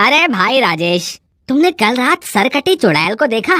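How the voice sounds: A woman does a cartoonish character voice at a high pitch with very wide pitch swings and very even loudness. She keeps a moderate pace, and the sound is dry and close with no echo.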